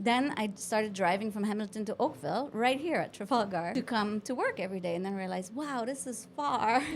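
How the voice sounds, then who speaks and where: A woman with a Quebec accent speaks at a fairly high pitch with lively intonation. She hardly pauses, and noticeable background noise runs underneath. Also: fairly quick pace. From Quebec, Montreal. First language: French. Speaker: marketing company owner. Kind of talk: podcast interview. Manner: animated.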